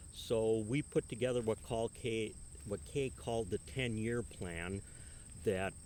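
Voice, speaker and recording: A man speaks fairly slowly in an ordinary speaking voice, his fairly low pitch rising and falling in an ordinary way. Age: 60s. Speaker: retiring farmer. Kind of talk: interview.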